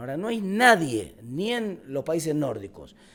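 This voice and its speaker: A man with an Argentine accent talks with very wide pitch swings. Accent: Rioplatense Argentine Spanish. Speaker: national congressman. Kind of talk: interview. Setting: student podcast interview. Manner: fast, many repetitions and self-corrections; animated.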